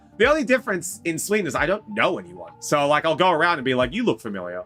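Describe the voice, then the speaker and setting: Over music in the background, a man talks in an animated tone at a fairly quick pace. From New Zealand. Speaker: streamer. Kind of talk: casual chat. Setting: live stream.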